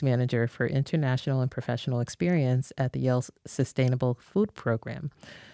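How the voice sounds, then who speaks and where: With hardly any pauses, a woman talks at a fairly quick pace in a very deep, low voice with a dark, mellow tone. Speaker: podcast host. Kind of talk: podcast interview host.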